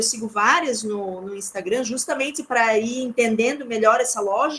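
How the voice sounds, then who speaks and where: A woman at a moderate pace with lively intonation. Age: 40s. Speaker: lecturer. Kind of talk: lecture.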